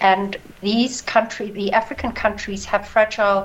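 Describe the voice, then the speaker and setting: With noticeable background noise, a woman speaks at a fairly slow pace and with fairly even intonation. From South Africa. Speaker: stock exchange CEO. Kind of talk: interview. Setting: remote link from South Africa. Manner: halting, many fillers.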